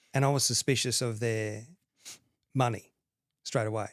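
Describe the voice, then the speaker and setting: Speaking with an Australian accent, a man keeps a medium pitch, a fairly slow pace and fairly even intonation. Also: very clean recording, silent background. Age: 50s. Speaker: accountant and mortgage lender. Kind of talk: podcast interview.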